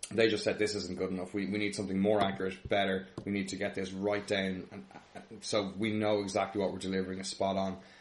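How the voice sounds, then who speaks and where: At a very fast pace, a man speaks in a fairly low pitch with monotone, flat intonation. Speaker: podcast co-host. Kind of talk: casual podcast chat.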